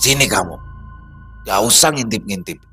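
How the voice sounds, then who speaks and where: A man puts on a hoarse character voice at a medium pitch, speaking at a moderate pace with clear music in the background. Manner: menacing, commanding.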